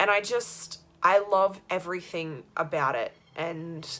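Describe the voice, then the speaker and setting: A woman speaks with an Australian accent at a medium pitch. Music plays in the background. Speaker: vlogger. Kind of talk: casual vlog monologue. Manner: animated.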